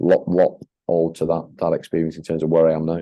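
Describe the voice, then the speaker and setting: With a northern English accent, a man speaks at a moderate pace in a very deep, low voice with monotone, flat intonation. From northern England, Leigh near Wigan. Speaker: franchise owner and leadership consultant. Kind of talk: podcast interview. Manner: hesitant, many fillers and repetitions.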